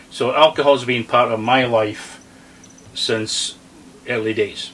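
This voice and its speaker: Against noticeable background noise, a man talks very slowly in a medium-pitched voice with fairly even intonation. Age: 60s. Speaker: RV vlogger. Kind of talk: casual chat.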